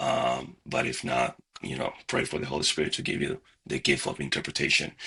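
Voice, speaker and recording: In a Spanish accent, a man delivers his words fairly quickly. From Dominican Republic. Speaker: minister and seminary student. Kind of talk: interview and software tutorial.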